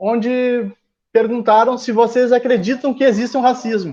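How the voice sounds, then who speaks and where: A dark, mellow tone at a moderate pace. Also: man. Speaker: presenter of a talk on racism. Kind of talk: lecture.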